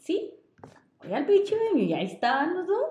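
A woman's dark, mellow tone with audible room echo. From northern Mexico, Chihuahua. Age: 20s. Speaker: podcast co-host. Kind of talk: casual storytelling chat.

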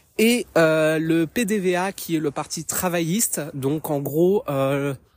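The woman's pitch is very deep and low, captured on a very clean recording against a silent background. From France. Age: 30s. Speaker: podcaster. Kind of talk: personal commentary monologue. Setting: outdoors, walking in woods.

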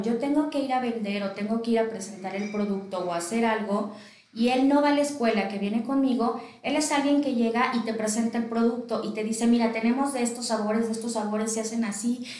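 A woman speaks at a fairly quick pace in a fairly high pitch with fairly even intonation, with audible room echo and noticeable background noise. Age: 30s. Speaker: entrepreneur. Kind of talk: interview.

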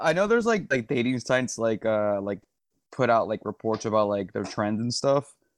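Here a man with an unremarkable speaking voice talks at a moderate pace and medium pitch, with ordinary pitch variation. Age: 20s. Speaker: podcast co-host. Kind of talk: casual chat.

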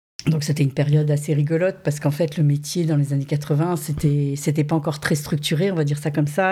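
Somewhat breathy and dark, mellow in tone, a woman's very deep, low voice moves at a fairly quick pace. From southern France (Saint-Raphaël). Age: 50s. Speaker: modelling agency director. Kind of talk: interview.

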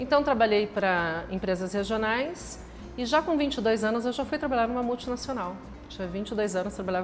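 Against noticeable background noise, a woman at medium pitch speaks at a moderate pace with lively intonation. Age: 40s. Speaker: franchise store owner. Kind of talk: casual interview chat.

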